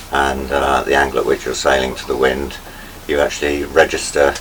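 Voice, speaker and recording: Noticeable background noise accompanies a man who keeps to a moderate pace. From Isle of Wight, southern England. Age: 60s. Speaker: sailing crew member. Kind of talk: interview.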